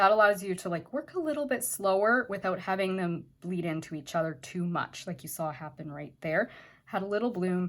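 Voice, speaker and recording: In a very clean recording with a silent background, a woman with a fairly low pitch speaks with lively intonation. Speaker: watercolor art teacher. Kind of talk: tutorial. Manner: fast; casual, chatty.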